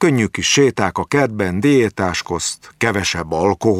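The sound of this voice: An unforced reading voice is what comes through here.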